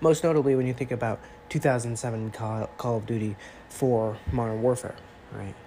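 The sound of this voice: A man's nasal voice, medium in pitch and dark and mellow in tone, with fairly even intonation at a moderate pace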